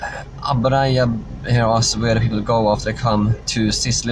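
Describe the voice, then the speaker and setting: Noticeable background noise and audible room echo surround a man speaking at a medium pitch and moderate pace. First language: not English. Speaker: political vlogger. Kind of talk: live stream Q&A. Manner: halting, many fillers.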